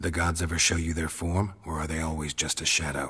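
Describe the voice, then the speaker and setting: This is a put-on character voice with a growling sound. It moves at a fairly quick pace with monotone, flat intonation. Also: man, very deep, low pitch for a man. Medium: video game. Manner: terse, dry, clipped.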